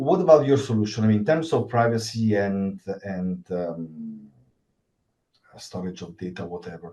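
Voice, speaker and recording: Speaking with an Italian accent, a man uses a fairly low pitch and a dark, mellow tone at a moderate pace. His intonation is lively, and his loudness swings widely. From Italy. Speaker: cybersecurity worker, event attendee. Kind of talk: Q&A question at online event. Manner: halting.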